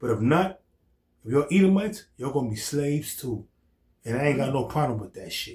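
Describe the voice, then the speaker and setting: Fairly quick but with long, frequent pauses, a man speaks at a fairly high pitch with lively intonation, a somewhat breathy sound and big swings in loudness. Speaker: religious teacher. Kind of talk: scripture teaching discussion.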